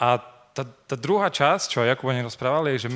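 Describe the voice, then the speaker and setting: With an ordinary speaking voice, a man talks at a moderate pace, his medium pitch showing ordinary variation. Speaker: preacher. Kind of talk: sermon.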